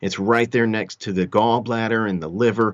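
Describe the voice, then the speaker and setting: A man speaks with a Texan accent at a moderate pace. His pitch is fairly low, with ordinary variation. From Texas. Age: 50s. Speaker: emergency doctor. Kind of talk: interview, medical explanation.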